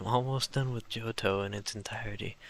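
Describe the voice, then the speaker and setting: A soft-spoken man with a relaxed yet bright, sharp tone at a moderate pace. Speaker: gaming video creator. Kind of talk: relaxing let's play commentary. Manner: very quiet, soft-spoken; relaxed, improvised with fillers.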